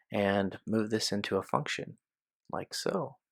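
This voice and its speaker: The recording of this man is very clean with a silent background and has a dry, close sound with no echo. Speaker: software developer. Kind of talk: software tutorial screencast. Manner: slow.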